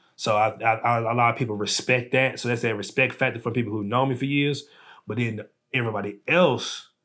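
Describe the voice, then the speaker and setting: The speaker has a Southern US accent and a bright, sharp tone at a fairly quick pace. Intonation stays fairly even in a very clean recording with a silent background. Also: man, medium pitch for a man. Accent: country Southern. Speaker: artist and entrepreneur. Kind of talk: casual chat.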